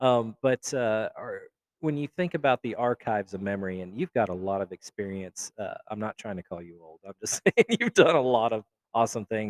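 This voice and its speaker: An unremarkable speaking voice at a fairly quick pace, lively intonation, big swings in loudness, and a dry, close sound with no echo. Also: man, medium pitch for a man. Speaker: podcast host. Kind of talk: casual interview. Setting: live at a festival, in a lobby.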